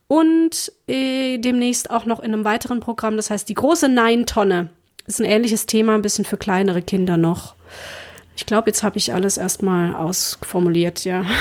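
At a moderate pace, a woman speaks at a fairly high pitch. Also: ordinary pitch variation. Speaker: podcast host and performing artist. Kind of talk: casual chat.

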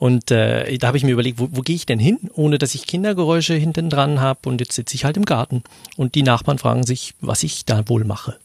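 This man's voice is somewhat breathy and medium in pitch, with ordinary pitch variation. He speaks at a very fast pace, and the sound is dry and close with no echo. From Switzerland. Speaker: podcaster. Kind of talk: casual chat.

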